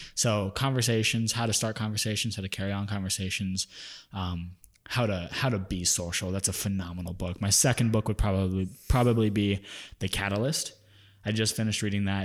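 A man with an ordinary speaking voice talks at a fairly quick pace, with a fairly low pitch and fairly even intonation. The recording is very clean, with a silent background. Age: 20s. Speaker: podcast host, wedding business owner. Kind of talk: casual chat; scripted outro.

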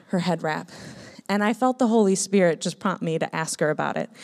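A woman with an American accent has a plain, everyday voice at a medium pitch and a fairly quick pace. The recording is very clean, with a silent background. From Minnesota, US. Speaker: missionary. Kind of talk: testimony. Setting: church.

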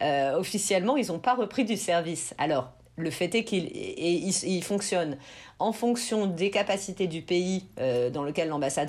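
This is a plain, everyday voice. It moves at a fairly slow pace with lively intonation. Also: woman. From France. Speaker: immigration lawyer. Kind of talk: interview, explaining immigration procedures.

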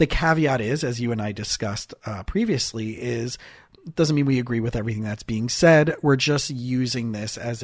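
Very clean recording, silent background, a man at medium pitch. He sounds somewhat breathy and keeps a moderate pace. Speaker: therapist. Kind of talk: casual chat.

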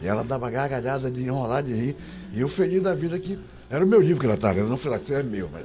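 Very fast speech from a man at medium pitch, very wide pitch swings, audible room echo. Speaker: journalist. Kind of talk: casual chat.

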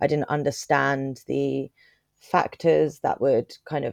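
In a dry, close sound with no echo, a woman speaks with a London accent. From Croydon, south London. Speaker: charity chief executive. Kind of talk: interview.

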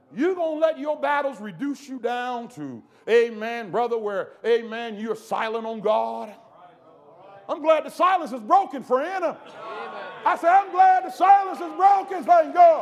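An animated tone with very wide pitch swings and big swings in loudness at a moderate pace, over noticeable background noise. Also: man, extremely high pitch for a man. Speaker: preacher. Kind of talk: sermon. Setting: church camp meeting with congregation.

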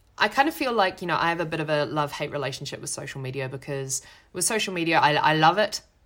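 At a very fast pace, a woman with a New Zealand accent speaks in a very deep, low pitch with lively intonation and big swings in loudness, on a very clean recording with a silent background. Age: 30s. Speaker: podcast host, actress and performer. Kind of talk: casual solo talk.

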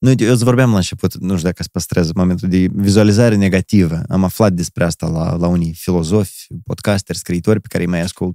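This man talks very fast in a very deep, low voice, with a Moldovan accent. His intonation stays fairly even, and the sound is dry and close with no echo. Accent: Moldovan Romanian. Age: 30s. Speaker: performer and entertainer. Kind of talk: casual chat.

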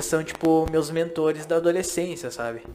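An unremarkable speaking voice from a man, fairly high in pitch, at a moderate pace. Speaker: podcast host. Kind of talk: casual chat.

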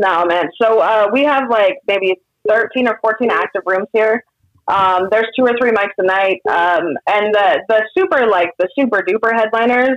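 With a Californian accent, a woman at a fairly high pitch speaks at a moderate pace with very even loudness and ordinary pitch variation, sounding dry and close with no echo. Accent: Californian American English. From Sacramento, California. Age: 30s. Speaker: comedian. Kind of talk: casual chat.

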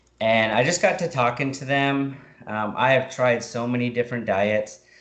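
A man talks at a fairly slow pace in an ordinary speaking voice. His pitch is medium and his intonation fairly even. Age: 30s. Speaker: military service member and keto dieter. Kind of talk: casual interview.

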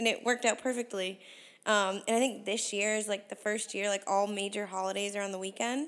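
At a fairly quick pace, a woman uses an ordinary speaking voice with medium pitch and fairly even intonation on a very clean recording with a silent background. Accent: American. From US Northeast (Connecticut). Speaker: podcast co-host. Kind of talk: casual chat.

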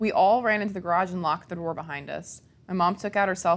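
The reading aloud is plain, with fairly even intonation throughout.

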